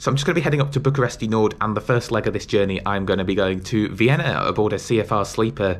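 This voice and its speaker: A man talks very fast with hardly any pauses. His fairly low voice has lively intonation. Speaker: travel vlogger. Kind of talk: casual vlog chat. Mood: cheerful, looking forward. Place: home room. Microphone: phone near.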